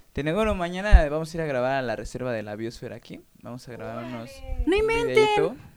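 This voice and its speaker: A fairly quick pace, big swings in loudness and noticeable background noise. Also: man. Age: 20s. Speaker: musician. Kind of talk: casual interview chat. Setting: radio studio.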